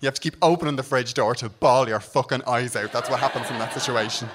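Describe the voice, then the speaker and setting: A man with a Dublin accent talks at a very fast pace, his pitch varying in an ordinary way. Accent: Dublin Irish. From Ireland, Dublin. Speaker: comedian. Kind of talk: stand-up.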